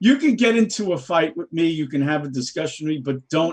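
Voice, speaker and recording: A man with a New York accent, speaking at a fairly quick pace with ordinary pitch variation. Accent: New York (Bronx). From New York City, the Bronx. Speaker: political talk show guest. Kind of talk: casual political discussion. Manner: animated, emphatic.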